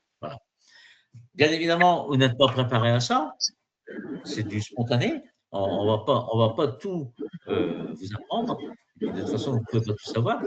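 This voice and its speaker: A man's medium-pitched voice, moderate in pace, with lively intonation. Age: 60s. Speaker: exam prep trainer. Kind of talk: webinar lecture. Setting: online virtual class. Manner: halting, many fillers and repetitions.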